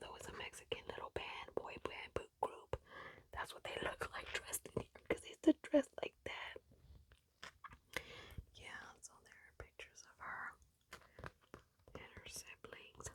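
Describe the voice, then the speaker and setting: A woman whispers in a gentle tone at a moderate pace, with long, frequent pauses. Her loudness swings widely, and the sound is dry and close with no echo. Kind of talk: ASMR magazine page-flipping, casual talk to camera. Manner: soft-spoken, gentle.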